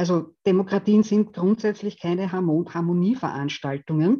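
Over a quiet background, a woman with a medium pitch and a dark, mellow tone speaks at a fairly slow pace with ordinary pitch variation. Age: 50s. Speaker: theology professor and values researcher. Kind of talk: lecture. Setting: video call.

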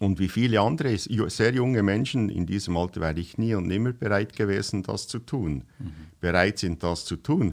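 In an ordinary speaking voice, a man with fairly low pitch talks at a moderate pace over a quiet background. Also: lively intonation. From western Switzerland, bilingual canton of Fribourg. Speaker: missionary organisation worker. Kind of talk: casual interview chat.

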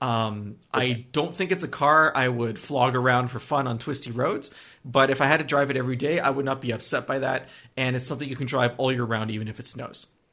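Putting on a character voice, a man speaks raspily at a medium pitch and a fairly quick pace with fairly even intonation over a quiet background. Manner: smiling, warm.

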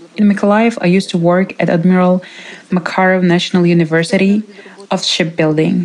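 A woman's fairly low voice with a Ukrainian accent and fairly even intonation, set against noticeable background noise. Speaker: interpreter voicing a displaced woman. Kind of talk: dubbed testimony.

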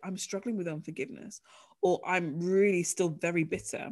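A woman with a British accent speaks at a fairly low pitch with ordinary pitch variation on a very clean recording with a silent background. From UK. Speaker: author and ministry leader. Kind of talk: interview.

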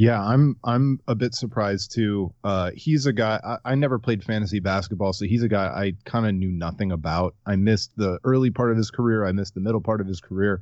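A man with a plain, everyday voice and an American accent talks fairly quickly at a fairly low pitch, with ordinary pitch variation and hardly any pauses, over a quiet background. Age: 30s. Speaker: sports blogger. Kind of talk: casual chat.

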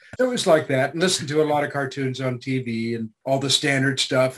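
The pace here is fairly quick. It is a normal speaking voice, with pitch varying in an ordinary way. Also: man. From Canada. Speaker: voice actor. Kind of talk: interview.

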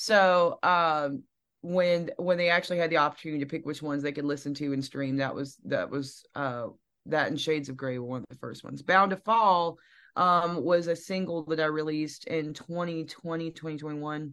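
A woman's very deep, low voice in a Southern US accent, at a moderate pace with ordinary pitch variation, big swings in loudness and a quiet background. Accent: Southern twang. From Alabama, US South. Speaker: singer-songwriter. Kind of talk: casual interview chat. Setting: video call.

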